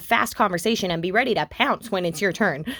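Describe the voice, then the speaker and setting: A loud woman at a very fast pace, on a very clean recording with a silent background. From Canada. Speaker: graduate student. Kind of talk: scripted presentation. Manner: animated.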